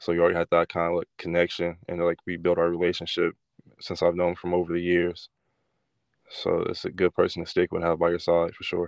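Against a quiet background with a dry, close sound and no echo, a man with an American accent talks very fast in a very deep, low, monotone voice. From California. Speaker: college football player. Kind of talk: interview. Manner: halting.

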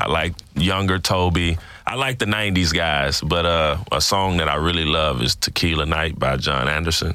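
The voice has a bright, sharp tone with vocal fry and ordinary pitch variation, moving at a moderate pace in a very clean recording with a silent background. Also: man. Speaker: podcast host. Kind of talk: casual interview.

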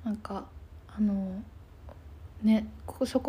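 Fairly high in pitch, this woman's voice has a dark, mellow tone and is somewhat breathy. She speaks at a moderate pace. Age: 20s. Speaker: podcast co-host, counselor. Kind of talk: casual chat.

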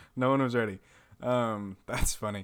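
A man with an American accent speaks at a medium pitch in a bright, sharp tone, on a very clean recording with a silent background. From Texas, Amarillo. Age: 20s. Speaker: podcast host. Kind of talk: casual chat.

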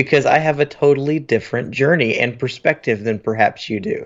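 A man with a plain, everyday voice speaks at a fairly quick pace and fairly high pitch with lively intonation. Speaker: podcast host, pastor. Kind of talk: casual podcast chat. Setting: home, remote call with noise.

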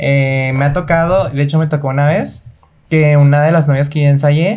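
Here is a man with an ordinary speaking voice. His pitch is fairly high and his intonation fairly even. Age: 20s. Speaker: dance choreographer. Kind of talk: casual interview.

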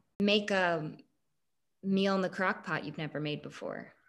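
On a very clean recording with a silent background, a woman speaks in a normal speaking voice at medium pitch and a moderate pace, with fairly even intonation. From Kansas, US Midwest. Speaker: podcast host. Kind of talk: casual chat.

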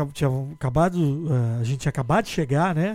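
A man talks at a fairly quick pace with ordinary pitch variation. It is an unremarkable speaking voice. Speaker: podcast host and sports journalist. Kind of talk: casual chat.

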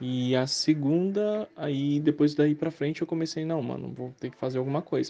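Ordinary pitch variation marks this man's speech. He talks at a moderate pace. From Brazil. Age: 20s. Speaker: interviewee, gamer. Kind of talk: interview testimony. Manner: casual, hesitant.

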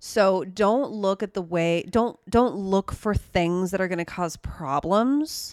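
The recording is very clean, and the background is silent. A woman talks at a very slow pace. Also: medium pitch for a woman, ordinary pitch variation, hardly any pauses. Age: 30s. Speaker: astrology podcast co-host. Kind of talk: casual chat.

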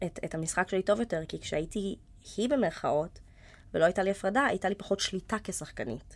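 A woman has an ordinary speaking voice at medium pitch with ordinary pitch variation. She talks at a fairly quick pace on a very clean recording with a silent background. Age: 20s. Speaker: actress. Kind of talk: casual chat.

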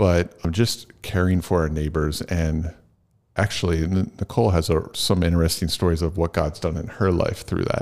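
A man with an American accent and a very deep, low pitch speaks at a moderate pace in a very clean recording with a silent background. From southeastern Pennsylvania. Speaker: pastor. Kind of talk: casual interview.

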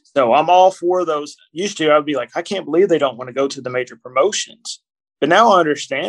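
Talking at a very fast pace, a man with a Kentucky accent uses ordinary pitch variation. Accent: Kentucky Southern US. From Kentucky, US. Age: 40s. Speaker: author and wrestling podcaster. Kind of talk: casual interview. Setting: hotel room.

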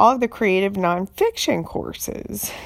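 This is a woman speaking. She talks with a North Carolina accent. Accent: Southern US (North Carolina). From US South, eastern North Carolina. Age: 40s. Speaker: podcast host, writer. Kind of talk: casual monologue. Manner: halting, many fillers.

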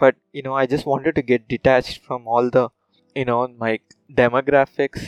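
A man with a Telugu accent speaks at a moderate pace in a monotone, flat intonation. The sound is dry and close with no echo. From South India, Tamil Nadu (Madurai). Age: 30s. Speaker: podcast host. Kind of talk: casual monologue.

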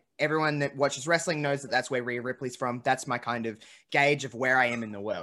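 In an Australian accent, a man talks at a very fast pace with a bright, sharp tone. His pitch is medium, and the recording is very clean with a silent background. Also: fairly even intonation. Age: 20s. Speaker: podcast host. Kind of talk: casual chat.

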